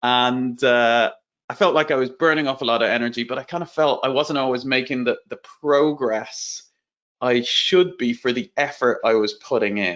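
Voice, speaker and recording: A man with an Irish accent speaks against a quiet background. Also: medium pitch for a man, ordinary pitch variation, moderate pace. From Ireland. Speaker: entrepreneur and growth strategy speaker. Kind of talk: webinar presentation. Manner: casual, conversational.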